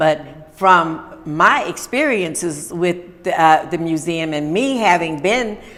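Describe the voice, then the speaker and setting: A woman's intonation is lively as she talks over noticeable background noise. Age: 80s+. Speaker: radio talk show host. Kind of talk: interview.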